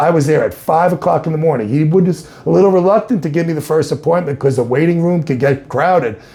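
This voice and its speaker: Noticeable background noise sits under a man's fairly high voice, which shows ordinary pitch variation. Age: 60s. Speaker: cancer patient giving testimonial. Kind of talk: testimony.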